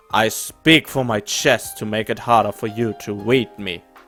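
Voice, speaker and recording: In a put-on character voice, a man of medium pitch speaks at a moderate pace over faint music in the background. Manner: controlled, low.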